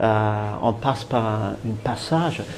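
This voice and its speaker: A man is speaking. Background noise is noticeable. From New Zealand. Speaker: tour guide. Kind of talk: interview answer. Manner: lively, enthusiastic.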